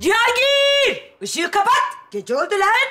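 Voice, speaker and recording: A woman's put-on character voice with extremely high pitch and lively intonation, over noticeable background noise. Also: moderate pace. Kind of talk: comedic scripted shouting. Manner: shouting, commanding.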